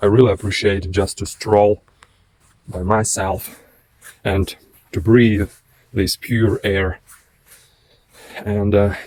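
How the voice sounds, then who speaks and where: Speaking in a non-native accent, a man with a fairly low voice goes very slowly in a flat monotone, with long, frequent pauses. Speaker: vlogger. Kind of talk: casual vlog monologue. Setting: outdoors, walking in a forest. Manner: halting.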